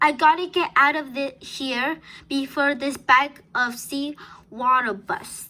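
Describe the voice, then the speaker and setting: In a put-on character voice, a high-pitched woman speaks at a fairly slow pace. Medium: read story.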